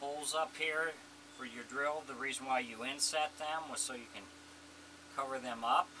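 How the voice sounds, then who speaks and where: A man talks at a moderate pace with fairly even intonation. Noticeable background noise sits behind him. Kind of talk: tutorial. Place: workshop. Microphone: camera far.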